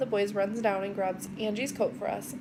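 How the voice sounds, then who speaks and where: An upbeat, bubbly voice moves at a fairly quick pace over noticeable background noise. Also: woman. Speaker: vlogger, mother of four. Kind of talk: casual vlog monologue. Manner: loud.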